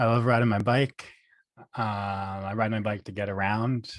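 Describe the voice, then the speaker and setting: Speaking with an American accent, a man uses a medium pitch. His pace is fairly slow, with ordinary pitch variation. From New York (Poughkeepsie). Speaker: speech-language pathologist. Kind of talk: interview podcast.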